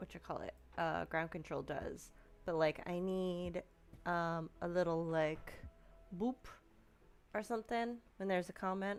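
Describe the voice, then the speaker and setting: A quiet woman with an American accent and a fairly low pitch speaks at a fairly slow pace with ordinary pitch variation and long, frequent pauses. The recording is very clean, with a silent background. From New York, Staten Island. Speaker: streamer, cross-stitch crafter. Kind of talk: casual live stream chat.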